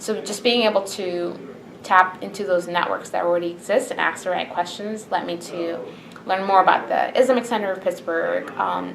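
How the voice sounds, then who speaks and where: A woman's medium-pitched voice at a moderate pace, with noticeable background noise behind it. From Bahrain. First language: Arabic. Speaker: interviewee, immigrant. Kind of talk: interview answers.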